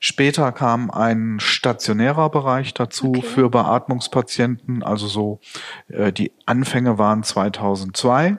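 A man speaks at a very slow pace in a medium pitch, with ordinary pitch variation. His loudness stays very even, and the sound is dry and close with no echo. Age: 50s. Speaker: nursing company managing director. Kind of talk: interview. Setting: office.

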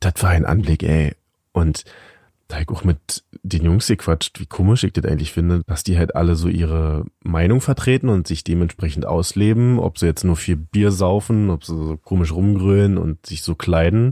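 On a very clean recording with a silent background, a man with a very deep, low voice and a dark, mellow tone speaks at a moderate pace with ordinary pitch variation, the sound dry and close with no echo. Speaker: podcast co-host. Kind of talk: casual chat. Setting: home attic.

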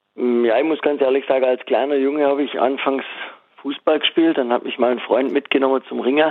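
This male speaker moves at a fairly quick pace. His delivery is monotone and flat. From Swabia, southwest Germany. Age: 30s. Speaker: former wrestler and wrestling coach, master butcher. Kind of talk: casual interview.

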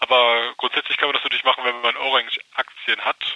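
This man speaks at a medium pitch. His intonation is monotone and flat. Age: 30s. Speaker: tax advisor and investor. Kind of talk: interview.

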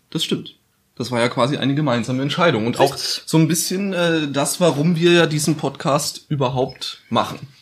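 Here a man talks at a moderate pace with a fairly high pitch. His voice is somewhat breathy, and his pitch varies in an ordinary way. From Bavaria, Bayreuth (Upper Franconia). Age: 20s. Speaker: podcast host, journalist. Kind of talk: casual chat.

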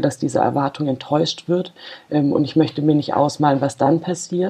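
A woman's very deep, low voice, fairly even in intonation, at a moderate pace. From Freiburg, Baden. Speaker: football fan representative. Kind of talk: interview.

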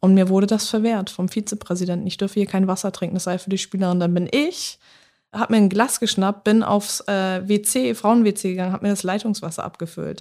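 On a very clean recording with a silent background, a woman with a plain, everyday voice speaks at a fairly quick pace and medium pitch, her intonation fairly even. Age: 20s. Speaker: former footballer, police officer. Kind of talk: casual interview.

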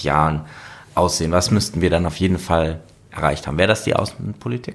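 A man with a very deep, low voice speaks with ordinary pitch variation. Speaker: podcast host, member of European Parliament. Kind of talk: interview conversation. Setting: European Parliament.

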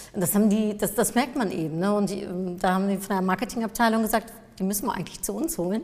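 Speaking very fast, a woman keeps a medium pitch with ordinary pitch variation. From Germany, near Cologne, Dutch family. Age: 40s. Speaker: marketing expert and speaker. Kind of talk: interview. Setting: studio.

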